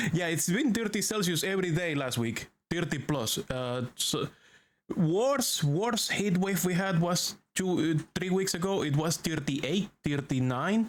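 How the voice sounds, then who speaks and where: A man speaks at a high pitch with lively intonation. His pace is fairly slow and his loudness very even. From Venezuela. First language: Spanish. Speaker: VTuber streamer. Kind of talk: live gaming stream commentary. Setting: home streaming room. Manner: animated, noisy.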